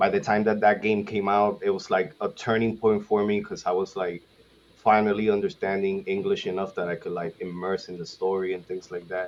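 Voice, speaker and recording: This man speaks in a Spanish accent at a fairly quick pace. His fairly low voice stays monotone and flat. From Puerto Rico. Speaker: gaming content creator, podcast guest. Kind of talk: casual podcast chat. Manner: hesitant, many fillers.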